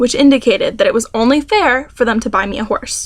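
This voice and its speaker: Her pitch is high and her pitch variation ordinary as this woman speaks at a fairly quick pace. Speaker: student. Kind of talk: reading own essay aloud. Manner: stuttering, awkward pauses.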